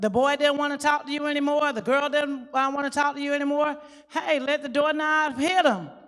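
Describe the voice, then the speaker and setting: Loud and high-pitched, a woman's voice comes through. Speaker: youth worker. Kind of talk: panel discussion. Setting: church youth conference.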